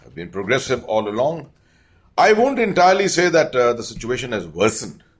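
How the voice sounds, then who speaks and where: Vocal fry and very wide pitch swings in a fairly high-pitched male voice. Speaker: retired army general. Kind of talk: interview.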